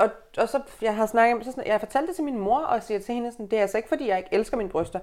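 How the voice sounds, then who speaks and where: A woman's lively intonation comes through in a very clean recording against a silent background. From Aalborg, northern Jutland, Denmark. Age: 20s. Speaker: journalist and fat activist. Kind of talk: casual interview chat. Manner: halting, many fillers.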